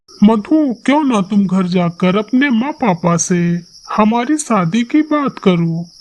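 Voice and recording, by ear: Someone performs a cartoonish character voice at a fairly high pitch and a fairly slow pace.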